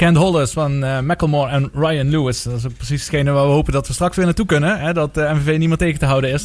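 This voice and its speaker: A man talks at a fairly quick pace in a normal speaking voice pitched fairly high. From Netherlands, Maastricht (Limburg). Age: 40s. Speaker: radio sports show host. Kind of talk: casual sports talk radio. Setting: radio studio.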